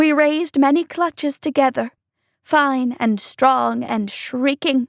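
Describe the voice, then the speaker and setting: A woman speaks. She uses a put-on character voice. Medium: read story.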